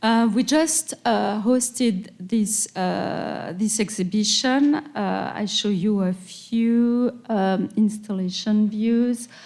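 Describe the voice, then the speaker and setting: In a French accent, a woman speaks very slowly at a fairly high pitch. Her pitch varies in an ordinary way, and she hardly pauses. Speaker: museum director and curator. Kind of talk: lecture. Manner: halting.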